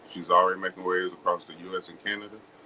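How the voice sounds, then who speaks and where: This man talks against noticeable background noise. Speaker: podcast host. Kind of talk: podcast intro.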